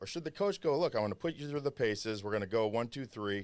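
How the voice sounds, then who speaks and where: Captured in a very clean recording with a silent background, a man with a fairly low pitch speaks in an energetic tone with ordinary pitch variation. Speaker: podcast host. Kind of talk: interview. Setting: studio.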